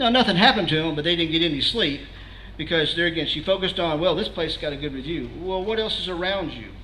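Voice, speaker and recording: A man talks at a very fast pace in a high pitch with ordinary pitch variation. Room echo is audible. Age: 60s. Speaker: security trainer, guest speaker. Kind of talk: presentation to a meeting audience. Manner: conversational, frequent filler words and restarts.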